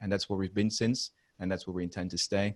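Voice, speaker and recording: A man with a Dutch accent speaks at a very deep, low pitch in monotone, flat intonation, with a dry, close sound and no echo. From Netherlands. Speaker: maintenance and reliability consultant. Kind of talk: podcast interview.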